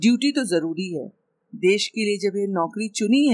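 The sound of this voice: Over a quiet background, the reading voice sounds unforced, with lively intonation.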